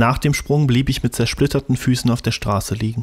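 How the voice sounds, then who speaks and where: Against a quiet background, a man talks at a fairly quick pace with ordinary pitch variation. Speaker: amateur audiobook narrator. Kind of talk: audiobook reading. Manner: fast, mumbling. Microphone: studio mic.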